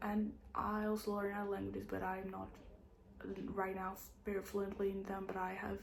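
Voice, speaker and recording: Fairly quick female speech amid noticeable background noise and audible room echo. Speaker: booktuber. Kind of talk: casual monologue to camera. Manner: halting, many fillers.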